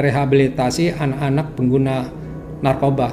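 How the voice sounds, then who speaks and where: Over noticeable background noise and audible room echo, a man speaks with a fairly high pitch. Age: 60s. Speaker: church member sharing testimony. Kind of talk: testimony.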